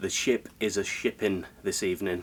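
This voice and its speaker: Talking at a fairly slow pace, a man with a British accent keeps his intonation fairly even. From United Kingdom. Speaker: travel vlogger. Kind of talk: casual vlog narration. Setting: on a cruise ship. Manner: casual, filler-heavy.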